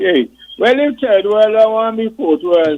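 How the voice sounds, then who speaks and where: A high-pitched man in an Antiguan accent, lively intonation, moderate pace. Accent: Antiguan dialect, recognized when he talks. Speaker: retired police and coast guard officer. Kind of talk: casual radio chat. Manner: animated.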